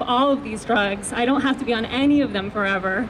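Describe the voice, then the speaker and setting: Noticeable background noise accompanies a woman speaking with an American accent at a fairly quick pace. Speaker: mental health activist. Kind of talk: rally speech. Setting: outdoors at a rally with microphone.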